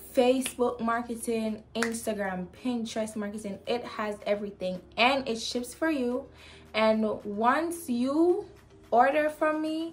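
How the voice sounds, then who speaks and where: A woman speaks in a high pitch. Light background noise can be heard. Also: lively intonation, fairly slow pace. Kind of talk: casual vlog tutorial. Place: home room.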